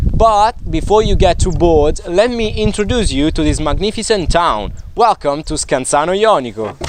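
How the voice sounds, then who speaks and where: Hardly pausing at all, a man with an Italian accent talks at a moderate pace in a high voice with very wide pitch swings, over noticeable background noise. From southern Italy, Basilicata. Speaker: university student presenting his hometown. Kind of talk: scripted narration.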